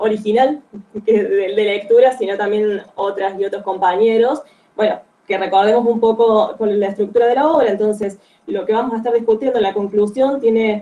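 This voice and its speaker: A woman with an unremarkable speaking voice, fairly high in pitch, at a moderate pace with fairly even intonation. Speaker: guest speaker on a book. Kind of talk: online reading group talk.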